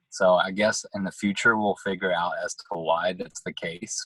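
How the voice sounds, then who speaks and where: A man's words arrive at an even, moderate speed in a dry, close recording free of echo. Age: 20s. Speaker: nurse. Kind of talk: interview. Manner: halting.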